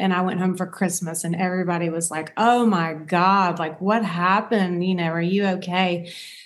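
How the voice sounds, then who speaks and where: The intonation stays fairly even. There is audible room echo. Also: woman. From US South. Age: 50s. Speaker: dietitian and author. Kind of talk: interview.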